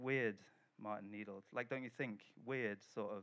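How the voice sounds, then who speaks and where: A man's medium-pitched voice with a Welsh accent and fairly even intonation. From Wales. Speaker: writer and translator. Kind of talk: reading from own novel at a literary festival.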